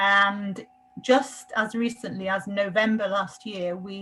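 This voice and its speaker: A woman with a British accent speaks at a medium pitch and a fairly slow pace. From UK. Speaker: repository services lead. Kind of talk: panel discussion.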